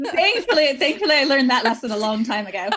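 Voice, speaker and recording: Someone with an American accent talks at a fairly quick pace with ordinary pitch variation against noticeable background noise. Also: woman. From Northern California. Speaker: business founder. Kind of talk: interview. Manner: hesitant, many fillers.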